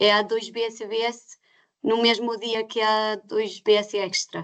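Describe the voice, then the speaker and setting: With a non-native accent, a woman speaks at a very slow pace in a fairly high pitch and monotone, flat intonation over a quiet background. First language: not Portuguese (speaking Portuguese). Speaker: certification scheme representative. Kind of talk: webinar Q&A answers. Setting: online webinar. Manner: halting, many hesitations.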